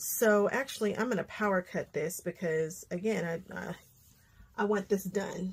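At a fairly slow pace, a woman speaks with fairly even intonation over light background noise. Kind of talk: tutorial.

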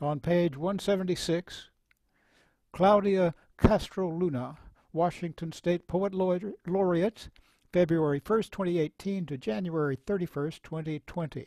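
The sound is dry with no echo as a man speaks in a high pitch with a dark, mellow tone and ordinary pitch variation. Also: quiet background. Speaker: moderator and poet; moderator, poet. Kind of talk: introducing readers and reading aloud. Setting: video call. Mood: serious, measured. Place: home room. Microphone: headset.

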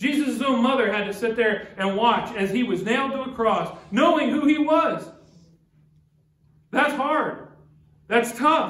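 A man's extremely high voice with ordinary pitch variation, fairly slow with long, frequent pauses and audible room echo. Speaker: pastor. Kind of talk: church sermon. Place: church. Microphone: podium.

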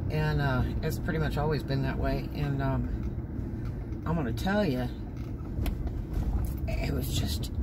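Over loud background noise, a man talks at a very slow pace with ordinary pitch variation. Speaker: driver vlogger. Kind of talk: casual vlog chat. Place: car. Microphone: phone near.

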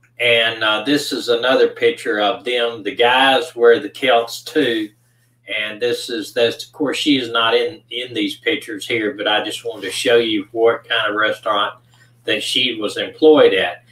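With audible room echo, a man speaks with fairly even intonation. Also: moderate pace. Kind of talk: case narration on livestream.

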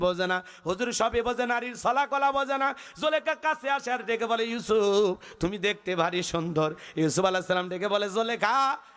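This man's voice sits high in pitch, with an animated tone. His pitch varies in an ordinary way. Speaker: Islamic preacher. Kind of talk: sermon. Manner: animated, audience call-outs.

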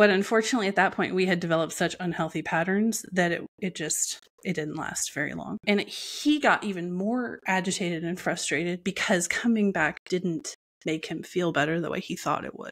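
A woman talks at a fairly quick pace with a fairly low pitch and ordinary pitch variation. The background is quiet. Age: 40s. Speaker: entrepreneur and abuse survivor sharing her story; podcast guest. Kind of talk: personal testimony in interview. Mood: reflective, serious personal story. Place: home room. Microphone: earbuds.

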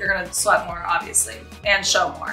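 Faint music plays in the background as a woman speaks with audible room echo. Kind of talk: casual vlog chat. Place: kitchen.

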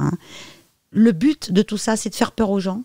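At a moderate pace and medium pitch, a woman speaks with lively intonation in a dry, close sound with no echo. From France. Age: 50s. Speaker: medium and psychic. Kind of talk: interview.

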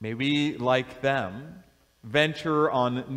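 A man is heard against a quiet background. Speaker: bishop. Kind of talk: blessing and fervent prayer before a congregation. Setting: church, in front of a congregation. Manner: solemn, fervent, earnest prayer cadence; warm, with light laughter. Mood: solemn, warm. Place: church.

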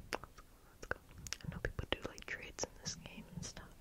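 The speech is whispered. Noticeable background noise is present. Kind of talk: ASMR gaming commentary.

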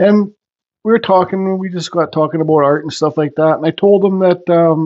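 His intonation barely rises or falls. The man keeps a moderate pace.

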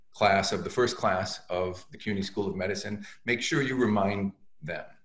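The speech moves at a moderate pace with ordinary pitch variation. Room echo is audible against a quiet background. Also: man. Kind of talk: commencement address. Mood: warm, congratulatory. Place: home room. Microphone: webcam.

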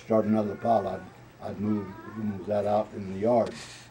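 Amid crowd noise in the background, a man speaks fairly slowly in a fairly low voice. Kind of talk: interview answer. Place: home room. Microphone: camera far.

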